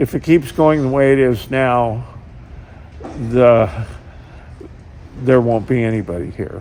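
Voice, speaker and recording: A man with an American accent, medium pitch and ordinary pitch variation, at a fairly slow pace with long, frequent pauses, over noticeable background noise. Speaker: logger and logging company owner. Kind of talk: interview. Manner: halting.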